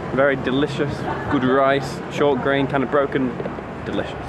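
A man's voice over loud background noise. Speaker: travel vlogger. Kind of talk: casual vlog chat. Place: street. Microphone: phone near.

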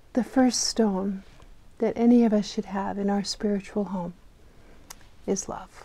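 Speaking fairly slowly, a woman uses a monotone, flat intonation. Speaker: clergy storyteller. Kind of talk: children's sermon storytelling. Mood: gentle, warm.

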